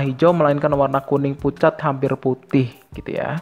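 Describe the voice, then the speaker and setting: Music plays in the background. Over it, a man speaks with fairly even intonation. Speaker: exam prep tutor. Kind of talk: tutorial. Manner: fast.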